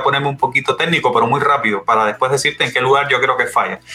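A man's very fast speech with fairly even intonation over background music. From Cuba. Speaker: industrial engineer and IT specialist. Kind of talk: interview conversation. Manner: halting, many repeated words.

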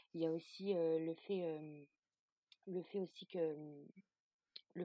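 A woman speaking with monotone, flat intonation. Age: 30s. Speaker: drama fan, social media creator. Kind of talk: casual chat.

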